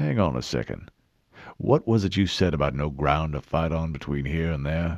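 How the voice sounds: A put-on character voice with vocal fry and lively intonation. It moves at a moderate pace. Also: man, extremely low pitch for a man.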